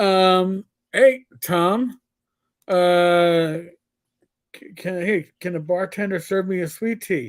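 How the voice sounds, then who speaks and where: Speaking very slowly in an American accent, a man with a high voice uses ordinary pitch variation, big swings in loudness, and long, frequent pauses. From New York. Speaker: podcast host. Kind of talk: casual chat.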